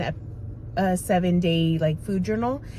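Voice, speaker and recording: Moderate pace from a woman, medium in pitch and somewhat breathy. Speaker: vlogger sharing weight loss journey. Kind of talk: casual vlog talk to camera. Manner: hesitant, many fillers.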